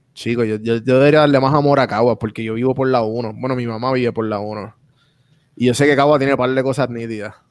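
Speaking very fast in a Puerto Rican accent, a medium-pitched man keeps fairly even intonation over a quiet background. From Puerto Rico, San Juan area. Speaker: podcaster and podcast coach. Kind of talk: casual interview chat.

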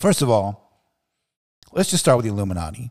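The speaker has an American accent and an animated tone. The recording is very clean, with a silent background. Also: man. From Kentucky, US. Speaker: podcast host. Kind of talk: solo opinion rant. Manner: conversational, laughs often.

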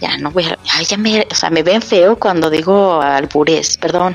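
A woman speaks at a medium pitch with ordinary pitch variation. Background noise is noticeable. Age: middle-aged. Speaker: podcast host. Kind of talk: casual chat. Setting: at home. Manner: animated.

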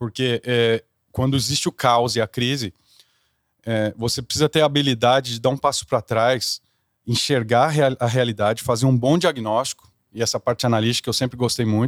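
A man with an unremarkable speaking voice talks at a moderate pace and medium pitch with fairly even intonation. The recording is very clean with a silent background, and the sound is dry and close, with no echo. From Brazil. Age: 30s. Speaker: corporate executive and singer. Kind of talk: interview.

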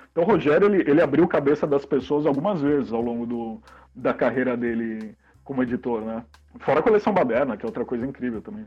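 Talking at a very fast pace, a man uses lively intonation and a fairly high pitch. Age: 40s. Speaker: zine publisher and comics shop co-owner. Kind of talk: casual interview.

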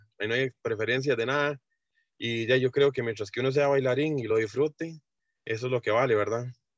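A man with a normal speaking voice talks fairly quickly at a medium pitch, his intonation fairly even and the sound dry and close with no echo. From Costa Rica, Heredia. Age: 30s. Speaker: swing dancer and truck driver. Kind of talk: interview. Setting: video call.

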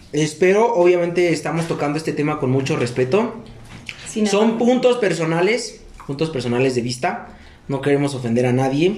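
A man with a fairly high pitch speaks at a moderate pace with lively intonation. Audible room echo and noticeable background noise fill the recording. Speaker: podcast host. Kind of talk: casual chat.

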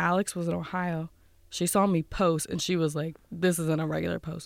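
Captured in a very clean recording with a silent background, a woman with an American accent talks at a moderate pace with a fairly low pitch. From northeastern Pennsylvania, Wilkes-Barre. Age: 20s. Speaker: college student and content creator. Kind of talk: interview. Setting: studio.

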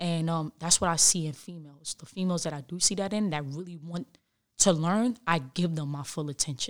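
In a New York accent, a woman talks fairly quickly at a fairly low pitch with ordinary pitch variation on a very clean recording with a silent background. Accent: New York City. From New York City, the Bronx. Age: 20s. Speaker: former basketball player. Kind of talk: casual interview.

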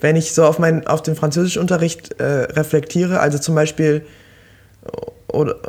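A man with a fairly high voice speaks at a moderate pace in a monotone, flat way. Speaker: podcast co-host, student. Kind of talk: casual chat. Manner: halting.

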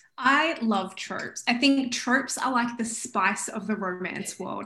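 A woman speaks with an Australian accent at a moderate pace and a fairly high pitch, with ordinary pitch variation. Noticeable background noise can be heard. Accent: Australian, milder than typical. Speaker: romance author. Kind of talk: interview.

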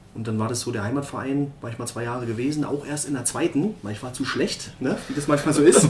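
Hardly pausing at all, a man with a fairly high pitch races along at a very fast pace over noticeable background noise. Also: ordinary pitch variation. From Berlin (Marzahn). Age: 40s. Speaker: former professional footballer. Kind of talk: interview.

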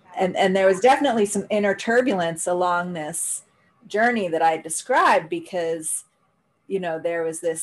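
A woman with a normal speaking voice talks at a fairly slow pace, at medium pitch with ordinary pitch variation. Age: 40s. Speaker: spiritual practitioner. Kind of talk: testimony.

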